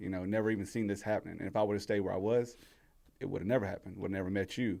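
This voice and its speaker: In a strong Southern US accent, a man speaks very fast with a fairly low pitch and a dark, mellow tone on a very clean recording with a silent background. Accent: heavy Southern US (Georgia). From rural Georgia, US South. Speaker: entrepreneur. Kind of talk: casual chat. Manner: animated.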